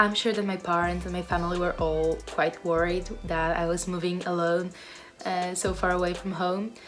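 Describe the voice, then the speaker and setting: Heard with audible room echo, a woman with a Polish accent talks at a fairly low pitch and a moderate pace. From Poland. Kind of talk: casual vlog talk to camera.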